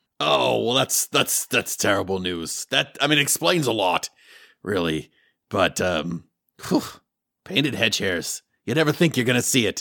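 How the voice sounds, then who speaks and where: A raspy, put-on character voice moves at a moderate pace with very wide pitch swings. The recording is very clean with a silent background and a dry, close sound with no echo. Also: man, fairly low pitch for a man. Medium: actual play. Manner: casual, wry.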